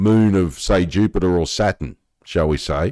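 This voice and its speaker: A man talks at a fairly slow pace in a very deep, low pitch with ordinary pitch variation. The recording is very clean, with a silent background and a dry, close sound with no echo. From Australia. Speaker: science news youtuber. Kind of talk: casual commentary reading article aloud. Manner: conversational, reflective asides.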